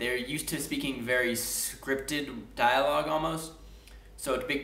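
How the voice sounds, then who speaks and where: Against noticeable background noise and audible room echo, a man with an American accent talks with ordinary pitch variation. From US, Washington D.C. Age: 20s. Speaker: English teacher. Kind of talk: casual video message. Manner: casual, with fillers and restarts.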